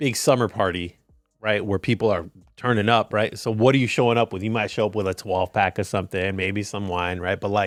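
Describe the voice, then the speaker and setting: A man talks in a plain, everyday voice with fairly even intonation. The sound is dry and close, with no echo. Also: fairly low pitch for a man, fairly quick pace. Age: 40s. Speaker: podcast co-host. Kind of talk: casual chat.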